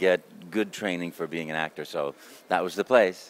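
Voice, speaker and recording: A man's pitch moves in an ordinary way as he talks fairly quickly. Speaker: voice actor. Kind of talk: interview answer. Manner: upbeat, enthusiastic.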